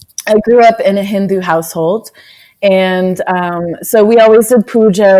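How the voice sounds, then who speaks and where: The tone is dark and mellow. A woman speaks at medium pitch. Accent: American. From United States. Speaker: yoga and social justice activist. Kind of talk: interview.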